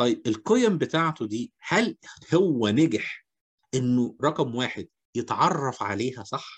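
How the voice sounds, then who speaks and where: A man with an Egyptian accent speaks at medium pitch and a very slow pace. His intonation is lively, and the background is quiet. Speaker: HR seminar host. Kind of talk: seminar discussion.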